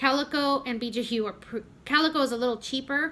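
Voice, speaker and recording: A woman with a Spanish accent speaks at a fairly quick pace in a bright, sharp tone. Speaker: homeschooling mom vlogger. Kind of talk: casual vlog update. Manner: conversational with frequent fillers and self-corrections.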